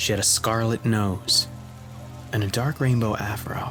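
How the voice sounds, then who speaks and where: A fairly low-pitched man with an American accent and ordinary pitch variation, music in the background. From Bronx, New York. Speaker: voice actor, narrator. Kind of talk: horror story narration.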